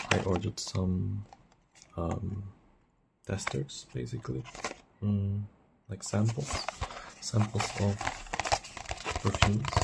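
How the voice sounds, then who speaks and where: The speaker is soft-spoken and talks at a very slow pace. Long, frequent pauses break up the speech. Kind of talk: ASMR perfume review.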